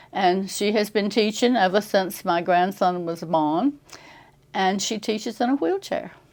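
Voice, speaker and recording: Speaking with an American accent, a woman with a medium pitch talks at a fairly slow pace with ordinary pitch variation. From Tidewater Virginia, Poquoson. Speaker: retirement community resident. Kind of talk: casual interview.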